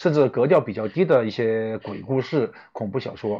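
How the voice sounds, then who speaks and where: With a Chongqing accent, a man speaks using lively intonation. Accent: noticeable Chongqing-accented Mandarin. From Chongqing, China. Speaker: suspense novelist and screenwriter. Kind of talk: live-stream interview. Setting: online live broadcast. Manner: halting, many filler sounds.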